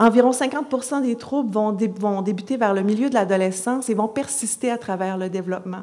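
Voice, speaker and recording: A woman with a Quebec accent, her fairly high voice at a fairly quick pace with ordinary pitch variation. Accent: Québécois French. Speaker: psychology professor. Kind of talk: conference talk. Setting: conference stage with audience. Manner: lively, moves around; many hesitations (euh).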